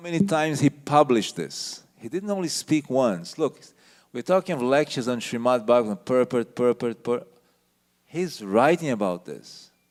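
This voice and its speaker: The man talks at a moderate pace and medium pitch, with very wide pitch swings and big swings in loudness. His voice sounds dry and close, with no echo. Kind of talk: lecture.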